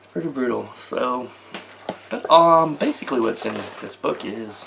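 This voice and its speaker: With an American accent, a man speaks at a moderate pace, his loudness swinging widely over noticeable background noise. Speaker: tabletop gaming YouTuber. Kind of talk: casual product review. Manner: hesitant, many fillers.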